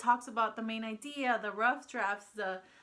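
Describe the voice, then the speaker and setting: A woman's fairly high, bright, sharp voice with a Spanish accent and fairly even intonation. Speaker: homeschooling mom vlogger. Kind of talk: casual vlog talk. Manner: hesitant, many fillers.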